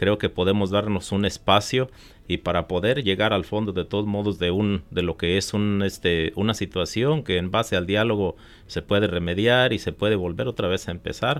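The pace is moderate, and the pitch variation is ordinary. It is a normal speaking voice. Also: man, fairly low pitch for a man. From Michoacán, Mexico. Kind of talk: radio interview.

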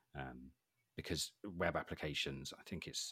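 A man is speaking. He has a Welsh accent. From Wales. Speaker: cybersecurity specialist. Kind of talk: casual interview.

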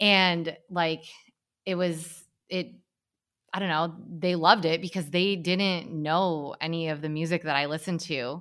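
Woman with an American accent and fairly low pitch, fairly even intonation, fairly slow pace and long, frequent pauses, on a very clean recording with a silent background. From Hamilton, Michigan, US Midwest. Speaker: school staff member. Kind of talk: casual chat.

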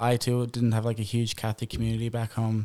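A man of medium pitch with a strong Irish accent, on a very clean recording with a silent background. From Ireland, Boyle, County Roscommon. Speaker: missionary. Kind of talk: casual chat.

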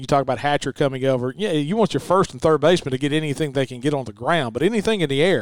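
The voice has a Southern US accent and a dry, close sound with no echo. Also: man. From Mississippi. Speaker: radio broadcaster.

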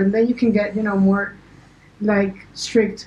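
Noticeable background noise sits behind this woman. She speaks at a medium pitch in a monotone, flat intonation. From Paraguay. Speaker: music producer and DJ. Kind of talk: casual chat.

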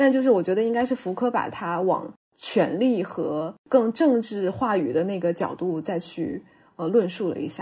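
Her dark, mellow tone carries lively intonation as this woman speaks. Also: medium pitch for a woman, moderate pace. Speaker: podcast co-host. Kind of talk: casual chat. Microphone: noticeable echo.

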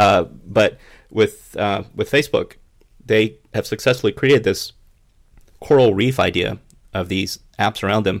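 Long, frequent pauses in a very clean recording with a silent background. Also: man, fairly low pitch for a man, ordinary pitch variation. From US South. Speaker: podcast co-host. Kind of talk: casual chat. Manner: fast talker.

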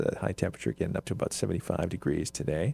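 A man with an American accent and vocal fry, in a dry, close sound with no echo. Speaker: podcast host. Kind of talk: casual chat. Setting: studio.

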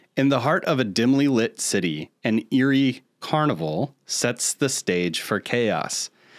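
In an ordinary speaking voice, a man of medium pitch talks at a fairly slow pace with lively intonation and hardly any pauses. The sound is dry and close with no echo, and the recording is very clean with a silent background. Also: very even loudness. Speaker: podcast co-host. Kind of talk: casual chat.

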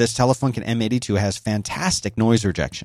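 Speaking at a moderate pace, a man uses medium pitch and ordinary pitch variation. The recording is very clean with a silent background. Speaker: podcast host. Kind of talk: tutorial. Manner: moderate volume, not loud.

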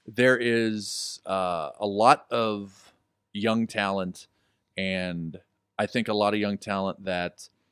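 A man with an American accent and a plain, everyday voice, fairly low in pitch with ordinary pitch variation, in a very clean recording with a silent background. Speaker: wrestling manager and commentator. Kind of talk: casual chat. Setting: studio.

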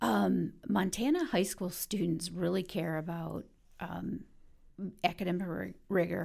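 A woman speaks at a fairly slow pace. Her fairly low voice has vocal fry. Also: ordinary pitch variation. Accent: American. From Detroit, Michigan. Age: 50s. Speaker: university enrollment executive. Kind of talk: interview.

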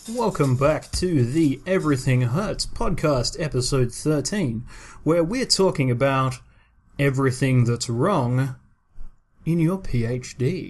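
A somewhat breathy man with an Australian accent, fairly high in pitch, at a fairly slow pace with ordinary pitch variation. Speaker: podcast co-host, scientist. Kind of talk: casual chat. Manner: animated.

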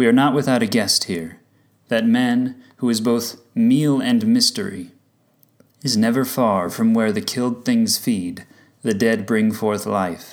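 Here a man with a plain, everyday voice speaks fairly slowly, his pitch varying in an ordinary way. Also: medium pitch for a man. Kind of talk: spoken word poem, reflective reading. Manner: measured, contemplative.

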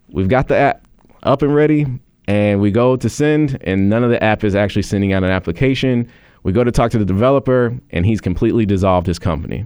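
Very fast and very even in loudness, a man with an American accent talks in a fairly low voice with ordinary pitch variation. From Chicago south suburbs. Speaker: nonprofit founder and CEO. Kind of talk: radio interview. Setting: radio studio.

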